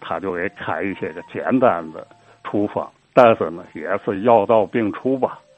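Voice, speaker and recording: In a Tianjin accent, a man speaks at a fairly slow pace with a fairly low pitch. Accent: Tianjin Mandarin. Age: 70s. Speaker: local history storyteller. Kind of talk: oral history storytelling.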